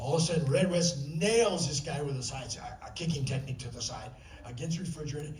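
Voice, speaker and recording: A man at a very fast pace with a fairly high pitch and ordinary pitch variation, amid audible room echo and noticeable background noise. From US Midwest, Indiana. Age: 70s. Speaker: retired karate champion. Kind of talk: interview storytelling on panel. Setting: stage with audience. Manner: animated.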